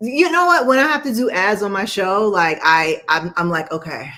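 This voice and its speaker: With a New York accent, a woman speaks in a bright, sharp tone, her pitch swinging very widely. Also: medium pitch for a woman, moderate pace. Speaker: show host.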